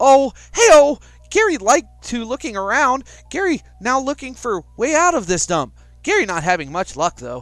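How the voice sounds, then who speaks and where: A man shouting in a gruff put-on character voice, extremely high in pitch with very wide pitch swings, at a moderate pace against a quiet background. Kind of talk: broken grammar, third person. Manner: shouting, gruff.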